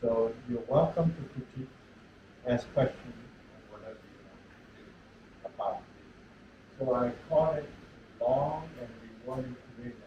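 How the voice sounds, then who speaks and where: Amid noticeable background noise and audible room echo, a man speaks at a fairly slow pace. He leaves long, frequent pauses, and his loudness swings a lot. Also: medium pitch for a man, fairly even intonation. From China. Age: 80s+. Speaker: retired engineering professor. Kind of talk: lecture. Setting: lecture hall with audience.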